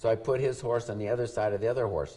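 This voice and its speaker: This man's voice is somewhat breathy with a dark, mellow tone, and he speaks at a fairly quick pace. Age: 70s. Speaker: retired stunt man. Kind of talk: interview storytelling.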